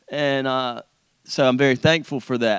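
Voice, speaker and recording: Delivered with an eastern North Carolina accent, the voice has a dry, close sound with no echo on a very clean recording with a silent background. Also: man. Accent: Southern US (eastern North Carolina). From US South, rural eastern North Carolina. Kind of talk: testimony. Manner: halting, many repeats and fillers.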